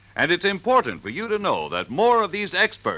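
Raised and projected, a man's high-pitched voice has a bright, sharp tone at a moderate pace. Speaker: radio announcer. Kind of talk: vintage radio commercial announcer, brisk and polished.

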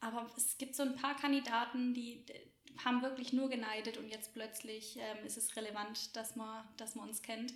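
Over noticeable background noise and audible room echo, a woman speaks at a moderate pace in a fairly high, flat monotone. Her loudness swings a lot. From Swabia, Germany (small village near Göppingen). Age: 20s. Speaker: café owner and entrepreneur. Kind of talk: podcast interview.

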